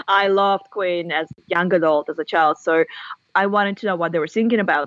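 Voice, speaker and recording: A woman speaks in a Russian accent with a fairly low pitch. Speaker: author and university lecturer. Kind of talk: podcast interview.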